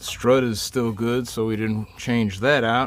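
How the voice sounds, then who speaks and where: In a normal speaking voice, the speaker goes at a fairly slow pace. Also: man. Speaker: DIY car repair video maker. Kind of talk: tutorial. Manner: casual.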